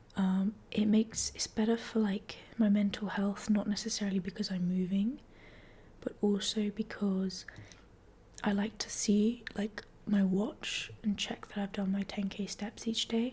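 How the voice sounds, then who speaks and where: A soft-spoken woman at a medium pitch talks in a flat, monotone way at a fairly slow pace, with noticeable noise in the background. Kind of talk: casual talk to camera, ASMR catch-up.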